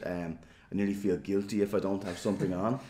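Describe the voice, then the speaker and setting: A man with a Dublin accent talks at a fairly quick pace in a fairly low pitch. His tone is dark and mellow, and his intonation stays fairly even. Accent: Dublin Irish. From Ireland, Dublin (Fingal). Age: 40s. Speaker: politician. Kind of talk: interview. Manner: hesitant, filler-heavy.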